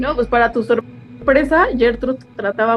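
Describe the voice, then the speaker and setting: Against noticeable background noise, a woman speaks at a moderate pace in a Mexican accent. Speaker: true crime podcast host. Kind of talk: casual storytelling chat.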